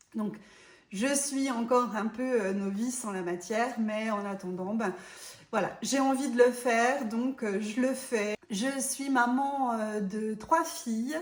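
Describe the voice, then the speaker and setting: Speaking very slowly in a strong Franche-Comté accent, a woman uses a fairly high pitch and ordinary pitch variation, with audible room echo around her. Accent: marked Franc-Comtois accent, close to Swiss. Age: 40s. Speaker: vlogger. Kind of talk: casual vlog talk to camera. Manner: hesitant, many filler sounds.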